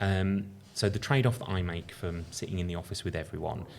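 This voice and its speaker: This man speaks with a very deep, low pitch for a man. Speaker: company founder and entrepreneur. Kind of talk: podcast interview. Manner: loud; casual, filler-heavy.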